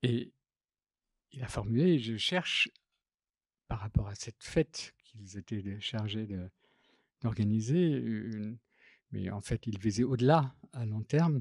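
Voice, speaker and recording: A man's medium-pitched voice at a very slow pace, with long, frequent pauses, big swings in loudness and ordinary pitch variation, dry and close with no echo on a very clean recording with a silent background. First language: not French (speaking French). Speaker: graphic designer and typographer. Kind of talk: public talk. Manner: halting, many hesitations.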